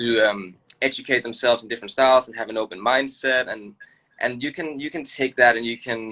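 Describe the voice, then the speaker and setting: A man with a Danish accent rattles along at a very fast pace in a bright, sharp tone. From Denmark. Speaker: choreographer and dancer. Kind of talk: casual interview chat.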